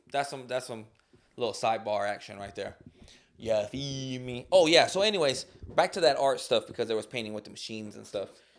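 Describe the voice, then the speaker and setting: This man talks at a fairly quick pace. The recording is very clean, with a silent background. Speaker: solo podcast host. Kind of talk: casual solo podcast monologue. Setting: home studio with dog present. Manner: rambling, halting with fillers.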